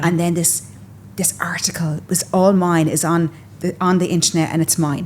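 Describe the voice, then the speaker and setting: An unremarkable speaking voice at a moderate pace. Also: woman. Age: 40s. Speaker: fashion content creator and stylist. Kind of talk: podcast interview answer. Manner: casual, chatty.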